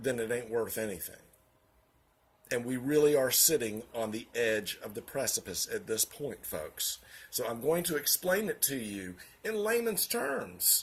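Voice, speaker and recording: With a Southern US accent, a man talks at a fairly slow pace in a medium pitch, his voice making very wide pitch swings. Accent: Southern US (Georgia). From US South, Augusta, Georgia. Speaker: vlogger, financial office worker. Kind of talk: political commentary monologue. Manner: hesitant, many fillers.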